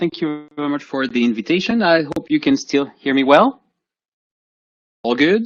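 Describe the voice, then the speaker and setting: With a French accent, a man speaks in very wide pitch swings. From France. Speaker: professor. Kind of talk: lecture. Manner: halting.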